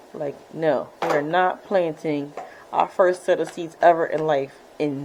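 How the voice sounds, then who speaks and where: Noticeable background noise sits under a woman's very deep, low voice. She speaks at a fairly slow pace with fairly even intonation. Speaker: home gardening vlogger. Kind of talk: casual vlog narration. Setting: at home. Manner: soft-spoken, not loud.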